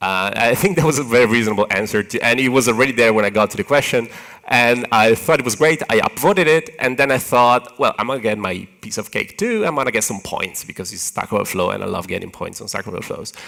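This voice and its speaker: Someone with an Italian accent talks at a very fast pace with lively intonation. Noticeable background noise runs underneath. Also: man, medium pitch for a man. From Italy. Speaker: software engineer, conference speaker. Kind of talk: conference talk. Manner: animated, hand-waving.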